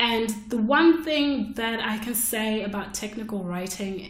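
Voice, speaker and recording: Speaking very slowly, a woman is heard over noticeable background noise. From Zimbabwe. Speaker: podcast host and technical writer. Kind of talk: solo podcast monologue. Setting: solo recording. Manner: casual, with frequent fillers.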